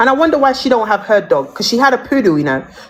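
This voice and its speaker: A woman speaks in a high, angry voice. Background noise is clearly audible. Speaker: TikTok live streamer. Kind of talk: heated live-stream rant. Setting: TikTok live stream. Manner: angry, loud, repetitive.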